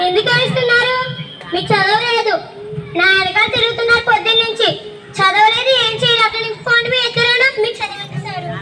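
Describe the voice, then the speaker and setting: A woman's put-on character voice at a fairly quick pace, with noticeable background noise. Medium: stage play. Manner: pleading, repeats sir often.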